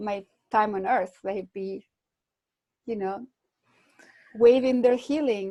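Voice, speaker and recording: A woman speaks very slowly, with long, frequent pauses and a fairly high pitch. Her tone is dark and mellow, and the sound is dry and close with no echo. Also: ordinary pitch variation. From Chile. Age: 60s. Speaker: visionary artist. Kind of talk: interview conversation. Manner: halting.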